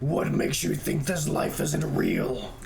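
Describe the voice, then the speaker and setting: A man's put-on character voice at a fairly slow pace with clear background noise. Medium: game stream. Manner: gruff, questioning.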